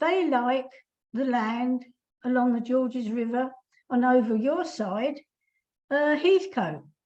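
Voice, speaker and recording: Speaking very slowly with long, frequent pauses, a woman with an English accent uses a high pitch and lively intonation. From England. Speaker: koala campaigner. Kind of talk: webinar Q&A.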